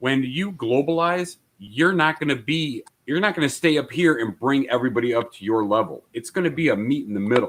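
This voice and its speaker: An ordinary speaking voice moves at a fairly quick pace. Its intonation is lively. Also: man, fairly high pitch for a man. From immigrant, came to US via Italy and Austria. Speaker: podcast panelist. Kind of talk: casual debate.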